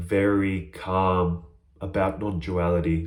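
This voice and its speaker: In an animated, excited tone, a man speaks. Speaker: spiritual teacher vlogger. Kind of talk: casual monologue. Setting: small room. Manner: loud, yelling.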